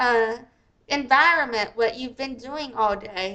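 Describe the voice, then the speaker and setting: A woman uses a raised, projected voice that is high in pitch, with a bright, sharp tone. She talks at a very slow pace with ordinary pitch variation. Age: 40s. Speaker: YouTuber and live streamer, deaf advocate. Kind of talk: live stream commentary. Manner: casual, rambling with fillers.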